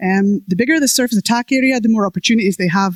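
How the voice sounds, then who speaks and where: With lively intonation, a woman talks at a very fast pace in a dry, close recording with no echo. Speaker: conference speaker, web developer. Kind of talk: conference talk. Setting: stage with audience.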